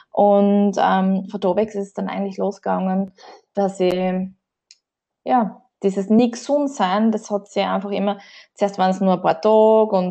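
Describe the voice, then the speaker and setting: A woman speaks at a medium pitch in a dark, mellow tone with fairly even intonation and long, frequent pauses, over a quiet background. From Austria, southern Burgenland (Oberwart district). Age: 30s. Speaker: journalist and Red Cross worker. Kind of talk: podcast interview.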